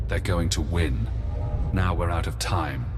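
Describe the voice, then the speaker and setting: Over loud background noise, a man uses a put-on character voice with very deep, low pitch at a moderate pace. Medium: machinima. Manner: clinical, precise.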